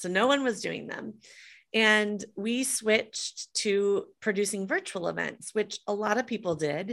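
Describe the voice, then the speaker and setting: A woman with an American accent and an ordinary speaking voice, fairly high in pitch, with ordinary pitch variation at a fairly slow pace, on a very clean recording with a silent background. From US Midwest, Des Moines, Iowa. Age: 50s. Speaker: entrepreneur and author. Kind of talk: interview.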